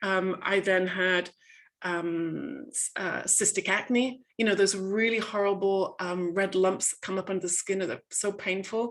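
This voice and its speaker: A woman with an English accent speaks at a medium pitch and a fairly slow pace. Her intonation is fairly even. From England. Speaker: coach and author. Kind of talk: webinar talk. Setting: video call. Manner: hesitant, many fillers.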